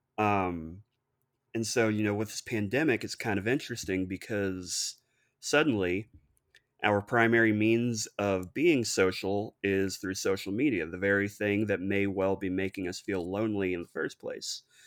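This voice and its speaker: A man speaks in a normal speaking voice at a moderate pace, his fairly low pitch moving with ordinary variation over a very clean recording with a silent background. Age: 30s. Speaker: licensed counselor. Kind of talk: casual interview.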